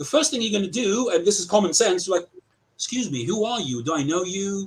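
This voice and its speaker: With a British accent, a man talks at a fairly quick pace, his high pitch moving in lively intonation. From England, Southampton. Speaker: accused party in an arbitration. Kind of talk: heated debate. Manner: animated.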